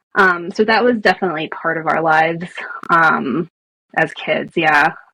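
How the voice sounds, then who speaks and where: Here is a woman with a fairly low pitch. Her tone is bright and sharp. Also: ordinary pitch variation, moderate pace. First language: Spanish. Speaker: storyteller and author. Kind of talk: podcast interview.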